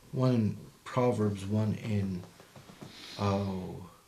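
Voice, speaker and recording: A man's fairly low voice amid audible room echo and noticeable background noise. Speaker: podcast co-host discussing the Bible; Marine veteran. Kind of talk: casual Bible study discussion.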